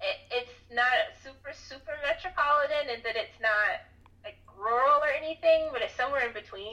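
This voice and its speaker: Amid noticeable background noise, a woman speaks in a raised, projected voice at a high pitch and a moderate pace, with ordinary pitch variation and big swings in loudness. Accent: American. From US South. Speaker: copywriter and freelance writer. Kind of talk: podcast interview.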